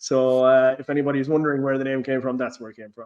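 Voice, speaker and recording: A man with an Irish accent talks at a very fast pace. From Ireland. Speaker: football blogger, podcast host. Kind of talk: casual chat. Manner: halting, frequent repetitions.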